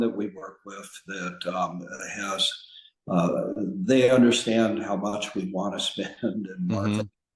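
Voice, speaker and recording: A man speaks at a very slow pace with lively intonation and big swings in loudness. Audible room echo surrounds his voice. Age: 70s. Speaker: trial lawyer. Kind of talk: podcast interview. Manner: halting, with many fillers.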